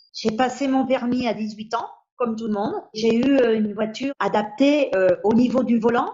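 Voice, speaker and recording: Ordinary pitch variation accompanies talking at a moderate pace. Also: woman. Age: 60s. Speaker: patient advocate with rare bone disease. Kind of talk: interview testimony. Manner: hesitant, with fillers.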